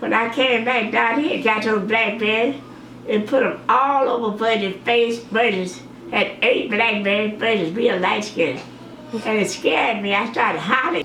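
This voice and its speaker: The speech moves at a moderate pace with very even loudness and ordinary pitch variation. Audible room echo and noticeable background noise are present. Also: woman, fairly high pitch for a woman. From Mississippi, US South. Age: 80s+. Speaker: grandmother sharing memories. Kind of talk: oral history interview.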